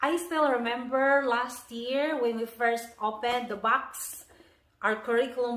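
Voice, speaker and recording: Speaking fairly slowly with a Filipino accent, a woman uses a fairly high pitch and ordinary pitch variation amid audible room echo. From Philippines. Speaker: homeschooling parent and video blogger. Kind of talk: curriculum review video. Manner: casual, friendly.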